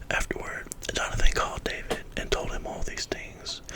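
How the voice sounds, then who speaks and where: A man whispers over noticeable background noise. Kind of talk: scripture reading aloud.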